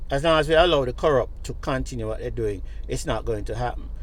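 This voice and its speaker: A man is speaking. Room echo is audible. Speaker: social commentator. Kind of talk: vlog monologue.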